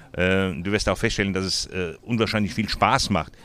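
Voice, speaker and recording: At a moderate pace, a man speaks with ordinary pitch variation in a very deep, low pitch. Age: 70s. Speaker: cochlear implant volunteer mentor. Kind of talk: interview. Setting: outdoors.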